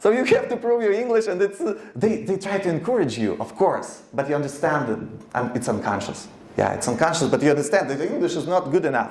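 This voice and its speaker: With a Ukrainian accent, a man talks at a very fast pace and a high pitch, with very wide pitch swings. Audible room echo and noticeable background noise fill the recording. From eastern Ukraine. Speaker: radio founder and producer. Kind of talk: speech to an audience. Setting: stage with audience. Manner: halting.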